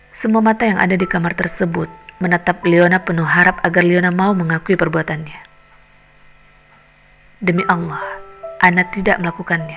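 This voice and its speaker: Over background music, a woman speaks fairly quickly in a fairly low pitch with monotone, flat intonation and long, frequent pauses. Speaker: voice actor. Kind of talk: audiobook novel reading.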